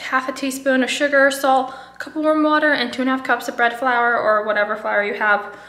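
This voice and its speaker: Room echo is audible, and so is noticeable background noise. A woman speaks at a moderate pace in a high voice with ordinary pitch variation. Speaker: food photographer vlogger. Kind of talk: casual vlog.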